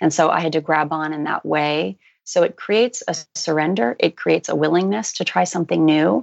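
Fairly low with vocal fry, a woman's voice carries a calm, soothing tone. She speaks at a fairly quick pace. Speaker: life coach and hypnotherapist. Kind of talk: coaching advice in interview.

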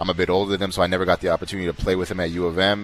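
A man talks at a very fast pace with a very deep, low pitch and monotone, flat intonation. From Canada, Winnipeg. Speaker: professional basketball player. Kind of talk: interview. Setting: live event venue.

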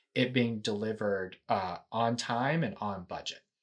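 At a moderate pace, a man speaks in an ordinary speaking voice with a fairly low pitch. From Texas (Houston). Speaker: nuclear energy company finance executive. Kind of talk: casual interview. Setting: video call.

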